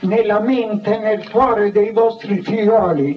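Speaking at a very slow pace, a man uses a high pitch. Noticeable background noise runs underneath. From Lazio, Italy. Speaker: Carmelite friar, former military chaplain. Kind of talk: public reading from his own biography. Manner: declamatory, rhetorical.

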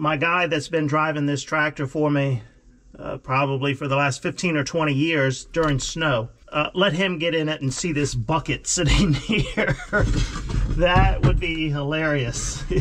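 Fairly even intonation at a fairly slow pace. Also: man. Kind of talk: casual vlog chat. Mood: amused, relaxed. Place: farm machine. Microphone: camera far.

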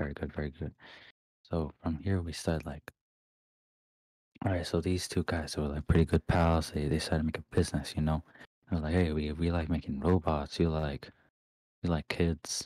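A man with a very deep, low voice speaks at a moderate pace in a monotone, flat way. Long pauses come often. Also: dry, close sound with no echo, very clean recording, silent background. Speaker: Discord moderator. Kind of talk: casual ASMR-style storytelling, explaining video game lore. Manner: soft-spoken, casual, joking, unsure at times.

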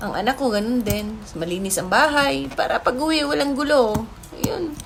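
The pitch swings very widely throughout. Audible room echo and noticeable background noise fill the recording. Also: woman. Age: 40s. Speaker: vlogger. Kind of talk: personal storytelling vlog. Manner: casual, chatty.

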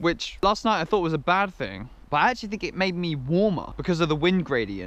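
Recorded dry with no echo, a man talks at a fairly quick pace. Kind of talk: casual vlog chat. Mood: relaxed, content morning. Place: forest. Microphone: phone near.

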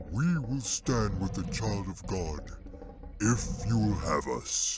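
A man puts on a booming character voice, pitched fairly low and delivered at a fairly slow pace.

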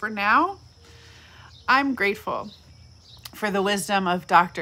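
A woman with an American accent talks in a bright, sharp tone. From California. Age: 40s. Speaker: pastor. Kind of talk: reflective devotional talk. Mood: warm, reflective. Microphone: phone near.

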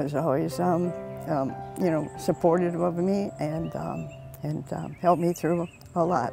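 Lively intonation at a fairly slow pace, with clear music in the background and a dry sound with no echo. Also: woman. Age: 80s+. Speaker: senior track and field athlete. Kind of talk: interview answer. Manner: hesitant, with frequent fillers. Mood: reflective, moved when speaking of husband. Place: stadium. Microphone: lapel.

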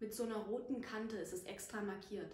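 A woman speaks somewhat breathily in a monotone, flat intonation. Her voice carries audible room echo. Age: 20s. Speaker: actress; actress introducing herself. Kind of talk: casual chat. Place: home room.

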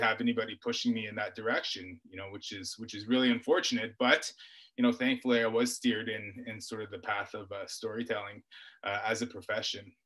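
Bright and sharp, the man's tone carries fairly even intonation. The background is quiet. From Ontario, Canada (First Nation near Parry Sound). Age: 40s. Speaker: author and journalist. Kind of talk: webinar talk and interview. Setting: video call. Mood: calm, reflective storytelling. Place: home room. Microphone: webcam.

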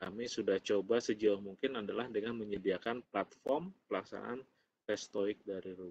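A man with an ordinary speaking voice, fairly low-pitched, talks at a moderate pace with fairly even intonation. His loudness swings widely over light background noise. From Indonesia. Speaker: presenter. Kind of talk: webinar Q&A. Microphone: video call.

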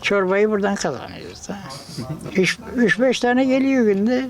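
Against noticeable background noise, a man talks at a fairly slow pace in a high pitch with ordinary pitch variation. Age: 80s+. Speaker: craftsman. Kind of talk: casual interview. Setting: small workshop.

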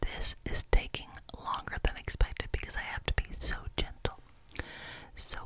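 A woman whispers. She keeps a moderate pace. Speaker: ASMR creator. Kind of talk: soft ASMR whisper chat. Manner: soft close-mic ASMR voice. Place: home room. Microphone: studio mic.

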